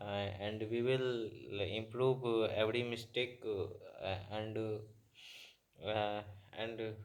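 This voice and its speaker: Very slowly, a man speaks at a medium pitch, with long, frequent pauses. His intonation is monotone and flat. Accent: Bihar. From Bihar, India. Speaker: beginner English learner. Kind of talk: casual talk to camera. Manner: hesitant, many filler sounds.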